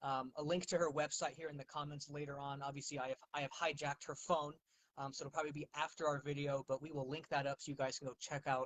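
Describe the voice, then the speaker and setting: A man with a fairly high pitch, very fast pace and monotone, flat intonation. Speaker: livestream interview host. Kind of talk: casual interview chat. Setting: livestream with co-host beside them. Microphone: too quiet on stream.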